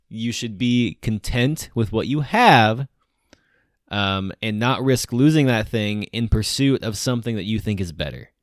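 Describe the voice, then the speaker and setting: Medium-pitched man in a plain, everyday voice, fairly slow, with ordinary pitch variation and a dry, close sound with no echo. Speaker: podcast host. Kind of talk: casual chat.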